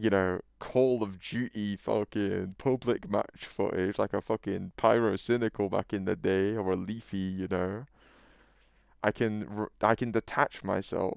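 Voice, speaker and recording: Recorded with a dry, close sound and no echo, a man with a British accent speaks at a fairly low pitch. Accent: British, noticeable. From UK. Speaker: YouTuber. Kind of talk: casual monologue. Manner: animated.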